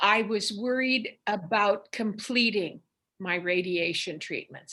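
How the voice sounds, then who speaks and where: The tone of this woman's voice is bright and sharp. She talks at a very slow pace. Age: 70s. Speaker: retired cancer patient. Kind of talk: oral history interview.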